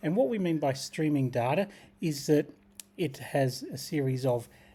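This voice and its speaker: In a very clean recording with a silent background, a man with an Australian accent speaks in a fairly high, somewhat breathy voice with a dark, mellow tone and ordinary pitch variation. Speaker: tech tutorial creator. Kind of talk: screen-share tutorial.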